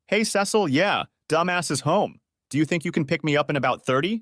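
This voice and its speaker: A man uses a put-on character voice, fairly high in pitch and at a fairly quick pace. The sound is dry and close with no echo, and there is hissing. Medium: read story. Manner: sneering, hissing.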